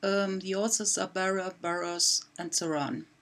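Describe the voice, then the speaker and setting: A woman speaks in a German accent at a medium pitch. Her pace is very slow. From Germany. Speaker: math teacher. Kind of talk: presentation. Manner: halting, many fillers.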